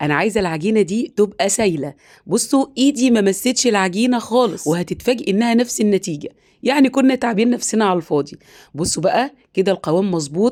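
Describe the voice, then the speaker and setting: In an Egyptian accent, this speaker talks at a fairly quick pace with lively intonation and very even loudness. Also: woman, medium pitch for a woman. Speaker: home cooking channel host. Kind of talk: cooking tutorial. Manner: chatty, direct to viewers.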